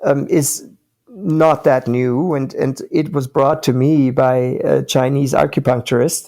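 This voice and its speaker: Fairly slow, fairly even speech from a man with a fairly high pitch. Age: 60s. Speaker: company founder. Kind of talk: interview. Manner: hesitant with fillers.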